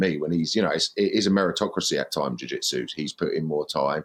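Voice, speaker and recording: Speaking very fast with a British accent, a man uses a very deep, low pitch with vocal fry. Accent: regional British. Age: 20s. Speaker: comedian. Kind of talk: casual chat.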